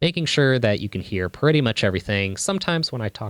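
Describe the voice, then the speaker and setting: The recording is very clean, with a silent background and a dry, close sound with no echo. A man speaks with lively intonation. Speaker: musician and streamer. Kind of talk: tutorial. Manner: varies between quiet and loud; halting.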